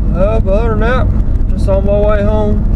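Dry, echo-free sound over loud background noise. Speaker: driver vlogger. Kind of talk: casual vlog chat. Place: car. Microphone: camera far.

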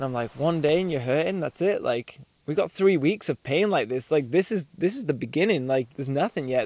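This man talks at a fairly quick pace. His intonation is lively. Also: dry sound with no echo. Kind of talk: interview answer. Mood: cheerful, laughing. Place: forest. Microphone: lapel.

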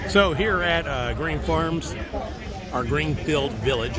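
Clear music plays in the background as a man speaks at a fairly slow pace, the sound dry with no echo. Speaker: vlogger filming event. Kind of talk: casual vlog chat. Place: street. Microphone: phone near.

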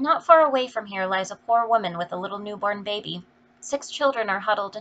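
This is reading aloud in a natural voice. The delivery sounds natural.

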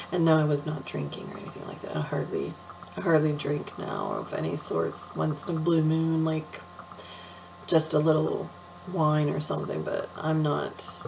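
Noticeable background noise runs through the clip. Over it, a woman talks at a moderate pace. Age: 40s. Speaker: beauty vlogger. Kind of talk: casual chat. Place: home room. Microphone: webcam.

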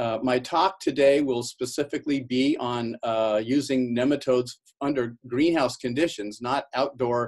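The speaker talks at a fairly slow pace with fairly even intonation. The background is quiet. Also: man. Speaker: university professor presenting. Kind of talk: webinar lecture. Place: office. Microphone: webcam.

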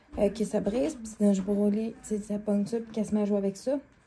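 Over noticeable background noise, a woman with a Quebec accent talks at a fairly quick pace and a fairly high pitch. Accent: Québécois French. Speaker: vlogger. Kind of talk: casual vlog chat. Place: home room. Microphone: phone near.

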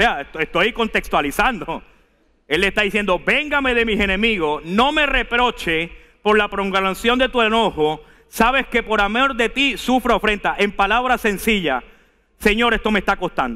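A man speaks at a high pitch and a moderate pace, his tone animated and his intonation lively. The background is quiet. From Venezuela. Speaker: preacher. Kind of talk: sermon delivered live to a congregation, with scripture reading and calls to respond. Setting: church. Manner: animated, emphatic and exhortative, urging the congregation to repeat and stand; conversational, asides and humor, direct address. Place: church. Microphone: headset.

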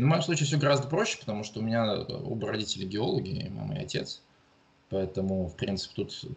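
The voice is somewhat breathy, moving at a fairly quick pace with lively intonation. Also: man. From Russia, Murmansk region. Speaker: geologist and university lecturer. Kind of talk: interview. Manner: halting, many fillers.

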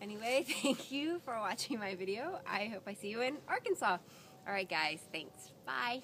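At a moderate pace, a woman speaks with very wide pitch swings against light background noise. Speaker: fitness blogger. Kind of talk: casual vlog chat. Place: waterside.

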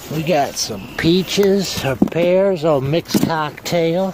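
The recording is dry with no echo, though background noise is noticeable. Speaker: dumpster diving vlogger. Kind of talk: casual vlog chat. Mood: amused, upbeat. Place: street. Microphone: phone near.

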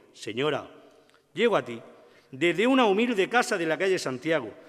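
With very wide pitch swings and a solemn tone, a high-pitched man speaks against a quiet background. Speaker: presenter introducing the orator, brotherhood member. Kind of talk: formal introduction, devotional and poetic. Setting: stage with audience. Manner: solemn, emotional, rhetorical. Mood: solemn, devotional, emotive. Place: stage. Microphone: podium.

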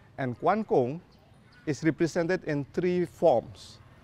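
In a dry recording with no echo, a man speaks at a very slow pace with lively intonation. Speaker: architect and professor. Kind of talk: outdoor walking-tour explanation, pointing out temples and streets. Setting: outdoors on city streets. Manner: measured, explanatory, with frequent 'uh' hesitations and self-repairs; earnest and scholarly, lingering on symbolism. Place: street.

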